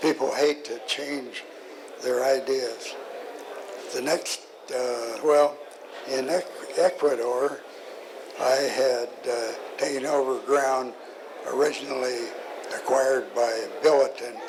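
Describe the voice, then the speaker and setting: The speaker talks at a very slow pace with monotone, flat intonation and long, frequent pauses. Noticeable background noise is present. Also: man, medium pitch for a man. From US Southwest, Arizona. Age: 90s. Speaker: mining geologist, explorer. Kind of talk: talk at a seminar. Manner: halting, many fillers and restarts.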